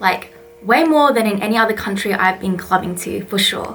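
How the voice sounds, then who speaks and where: With an Australian accent, a woman speaks at a medium pitch in an animated tone with lively intonation. Her pace is fairly quick, over noticeable background noise. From Australia (Melbourne). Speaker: vlogger and English teacher. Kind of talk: vlog monologue. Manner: casual, animated.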